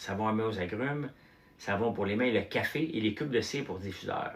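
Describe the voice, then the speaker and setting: A man with a Quebec accent at a moderate pace, over noticeable background noise. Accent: Québécois French. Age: 50s. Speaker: entrepreneur and farmer livestreamer. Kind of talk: casual livestream chat. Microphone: no microphone, uncharged.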